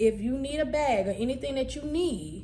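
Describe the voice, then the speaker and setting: A woman with an American accent, noticeable background noise and audible room echo. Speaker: cosmetology instructor. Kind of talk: tutorial. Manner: casual.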